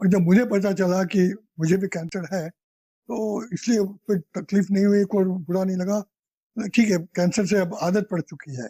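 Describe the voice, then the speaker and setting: A man speaks with a fairly high pitch, a dark, mellow tone and fairly even intonation. The sound is dry and close, with no echo. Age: 70s. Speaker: cancer patient. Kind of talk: interview testimony.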